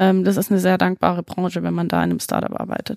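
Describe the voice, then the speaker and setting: On a very clean recording with a silent background, a woman's voice comes through with a dry, close sound and no echo. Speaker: business consultant. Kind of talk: podcast interview.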